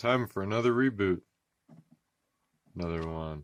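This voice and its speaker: The sound of this man's voice is dry, with no echo. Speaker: tech youtuber. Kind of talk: casual tutorial commentary. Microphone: phone near.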